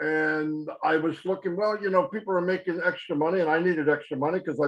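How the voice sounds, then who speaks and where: At a fairly quick pace, a man talks in a high voice with ordinary pitch variation. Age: 60s. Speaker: network marketing presenter. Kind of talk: webinar testimony. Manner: halting, repeats words.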